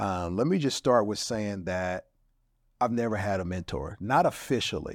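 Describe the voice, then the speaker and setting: In an unremarkable speaking voice, a man talks at a fairly low pitch with ordinary pitch variation. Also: moderate pace. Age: 50s. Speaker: podcast host and minister. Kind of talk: show intro; casual chat.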